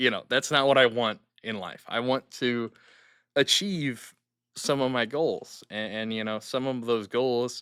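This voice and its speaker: At a fairly slow pace, a man talks at medium pitch with ordinary pitch variation. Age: 20s. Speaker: podcast host. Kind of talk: personal monologue. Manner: hesitant, filler-heavy. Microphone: new good microphone.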